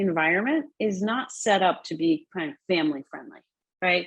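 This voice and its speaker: A woman keeps a moderate pace while her pitch swings very widely. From United States, child of immigrants. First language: not English. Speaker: social entrepreneur and conference speaker. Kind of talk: conference talk. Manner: conversational, many fillers.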